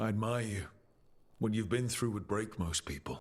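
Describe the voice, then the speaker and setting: A man puts on a character voice with a fairly low pitch. It sounds raspy and moves at a moderate pace. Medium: video game.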